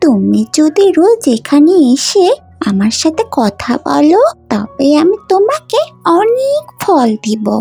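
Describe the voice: A cartoonish character voice moves slowly with big pitch swings, a dark, mellow tone and vocal fry. Faint music plays in the background.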